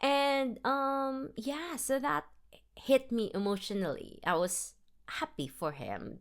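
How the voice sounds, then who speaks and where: In a Filipino accent, a woman speaks with very wide pitch swings. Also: very clean recording, silent background. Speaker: film review podcaster. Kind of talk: casual solo review. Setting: self-recorded podcast. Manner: casual, with fillers and restarts.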